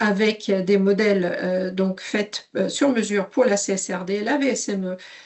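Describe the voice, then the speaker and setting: At a moderate pace, a woman speaks at a medium pitch with a slight Swedish accent. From Sweden. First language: Swedish (speaking French). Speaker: software company CEO. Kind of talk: webinar presentation. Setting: online webinar. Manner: hesitant, many fillers.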